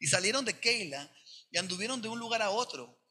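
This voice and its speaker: A man's raised, projected voice, bright and sharp in tone, at a moderate pace. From Sonora, northern Mexico. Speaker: pastor. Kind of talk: sermon.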